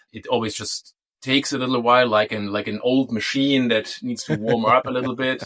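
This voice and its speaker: With a German accent, a man talks at a fairly quick pace. His medium pitch holds fairly even intonation. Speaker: DNS security consultant. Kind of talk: interview. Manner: halting.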